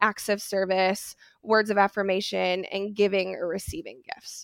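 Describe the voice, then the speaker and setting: A woman speaks at a moderate pace in a plain, everyday voice. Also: dry, close sound with no echo. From Wisconsin, US Midwest. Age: 20s. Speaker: mental health counselor. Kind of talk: casual interview chat. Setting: remote call.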